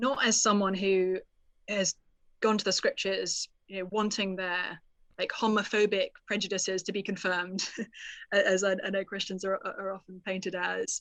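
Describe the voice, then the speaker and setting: Against a quiet background, a woman with a British accent talks at a moderate pace in a monotone, flat intonation. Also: medium pitch for a woman. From United Kingdom. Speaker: author. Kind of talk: interview.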